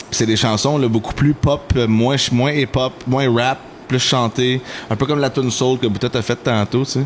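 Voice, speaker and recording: A man talks at a moderate pace in a medium pitch. Noticeable background noise sits behind him. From Quebec, Mascouche-Masson area. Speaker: R&B and rap singer. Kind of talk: casual chat. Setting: podcast recording. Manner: animated.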